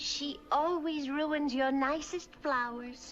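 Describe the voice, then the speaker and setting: Very slow and high, a female-sounding put-on character voice. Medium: voice reel. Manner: fussy.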